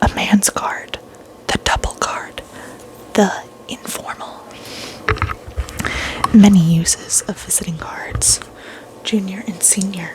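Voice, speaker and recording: Whispered speech from a woman, fairly slow, with noticeable background noise. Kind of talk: reading a vintage book's table of contents aloud.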